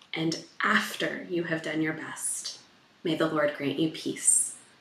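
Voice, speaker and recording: Audible room echo around a woman's voice. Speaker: pastor. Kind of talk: benediction, fervent blessing. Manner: fervent, impassioned, earnest. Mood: warm, calm, solemn. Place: home room.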